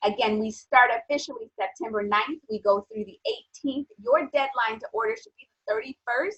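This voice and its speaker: Using a plain, everyday voice, a woman talks at a moderate pace and fairly high pitch with ordinary pitch variation, big swings in loudness and hardly any pauses. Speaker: nutrition strategist. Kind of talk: sales pitch.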